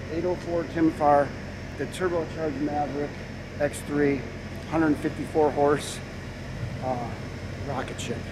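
Over noticeable background noise, a man with a fairly high pitch speaks very slowly in a monotone, flat intonation, leaving long, frequent pauses. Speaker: off-road vehicle video host. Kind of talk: casual on-location interviews. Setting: outdoors at a racing facility.

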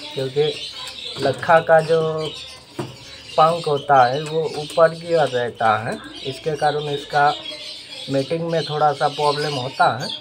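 At a slow pace and fairly high pitch, a man speaks with fairly even intonation over faint background noise.

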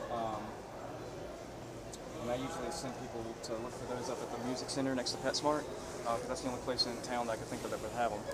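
A man rattles off his words at a very fast pace while loud noise fills the background. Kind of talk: customer service conversation. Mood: friendly, slightly unsure. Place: shop. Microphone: camera far.

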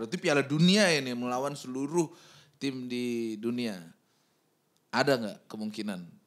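A man speaks at a moderate pace, taking long, frequent pauses. The background is quiet. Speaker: podcast host. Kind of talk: casual chat; podcast conversation. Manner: playful. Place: studio. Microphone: studio mic.

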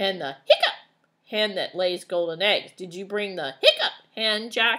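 A woman's put-on character voice at medium pitch and moderate pace, on a very clean recording with a silent background. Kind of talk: children's story read-aloud. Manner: gurgly, queasy.

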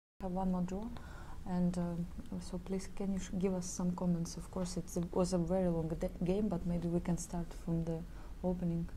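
A somewhat breathy, soft-spoken woman at a moderate pace, fairly low-pitched, with flat, monotone intonation, a calm, dark, mellow tone and light background noise. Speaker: press conference moderator. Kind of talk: post-game chess analysis discussion. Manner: soft-spoken, calm. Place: meeting room.

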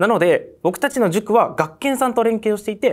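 This man's voice is high in pitch. Behind him there is total silence, and the recording is very clean. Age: 20s. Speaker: online tutoring school founder. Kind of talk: sales pitch.

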